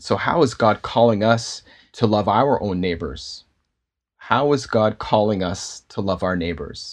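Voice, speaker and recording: A man with a Canadian accent talks at a fairly slow pace in a plain, everyday voice, pitched fairly low with ordinary pitch variation. His loudness swings widely, and the background is quiet. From Canada, Toronto. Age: adult, father. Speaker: pastor and filmmaker. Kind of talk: casual interview.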